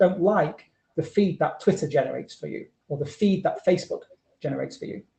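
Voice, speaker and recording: With a northern British accent, a man speaks fairly quickly in a high, dark and mellow voice with lively intonation. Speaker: researcher presenting a talk. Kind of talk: conference presentation. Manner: fast.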